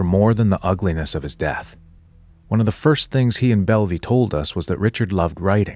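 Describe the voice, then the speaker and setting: Using a normal speaking voice, a man with a fairly low pitch talks at a fairly quick pace with lively intonation. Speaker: podcast host narrator. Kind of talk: scripted narration.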